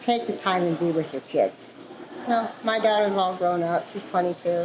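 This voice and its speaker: The woman's pace is moderate, with ordinary pitch variation. Noticeable background noise runs behind her. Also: medium pitch for a woman. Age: 60s. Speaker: truck driver. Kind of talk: interview. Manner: casual, chatty.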